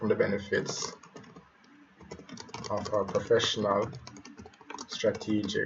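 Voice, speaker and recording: Long, frequent pauses break up a man's fairly slow speech, heard against noticeable background noise. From Jamaica. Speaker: web developer. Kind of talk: tutorial. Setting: live stream. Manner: halting.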